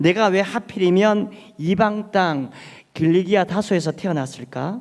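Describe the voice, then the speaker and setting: The man's high voice moves at a fairly slow pace. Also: ordinary pitch variation. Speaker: pastor. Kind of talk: sermon.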